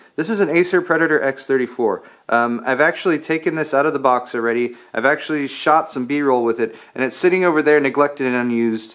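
The background is quiet as a man talks at a fairly quick pace. His pitch variation is ordinary. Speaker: tech video creator. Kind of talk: casual vlog chat. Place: garage. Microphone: phone near.

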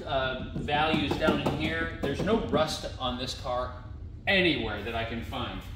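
A man speaks with music in the background. The room echo is audible. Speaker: seller showing a vehicle. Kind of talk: walkaround commentary. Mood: relaxed, lightly amused. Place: garage. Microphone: camera far.

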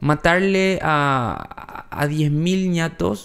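This man's high voice shows ordinary pitch variation. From Paraguay. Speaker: news show co-host; news podcast co-host. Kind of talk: casual news chat. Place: studio. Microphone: studio mic.

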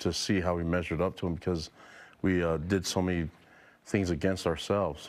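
A man with a very deep, low pitch, a monotone, flat intonation and a fairly quick pace. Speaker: head football coach. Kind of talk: interview answer. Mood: reflective after a loss. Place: studio.

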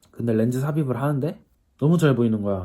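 In a very clean recording with a silent background, a man's medium-pitched voice has a dark, mellow tone, a somewhat breathy quality and lively intonation. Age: 20s. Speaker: YouTuber. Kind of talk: casual vlog monologue. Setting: at home in self-quarantine. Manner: casual, chatty.

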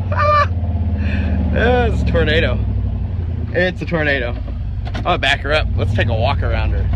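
Noticeable background noise behind a man, his sound dry with no echo. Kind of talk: casual vlog chat. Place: car. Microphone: phone near.

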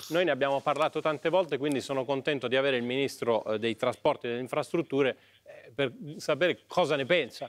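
A man's fairly high voice, very fast, with ordinary pitch variation. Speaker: TV morning show host. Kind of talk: TV interview questioning. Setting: TV studio. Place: studio.

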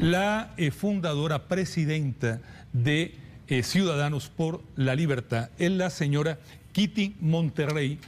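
A man's fairly high-pitched voice at a very slow pace, with ordinary pitch variation and very even loudness. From Costa Rica. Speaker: TV journalist; TV news presenter, interviewer. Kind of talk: news interview. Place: studio.

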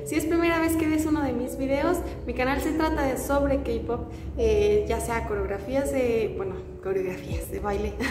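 Noticeable background noise sits behind a woman whose high voice moves with lively intonation at a moderate pace. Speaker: K-pop YouTuber. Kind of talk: casual vlog chat. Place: home room. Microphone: phone near.

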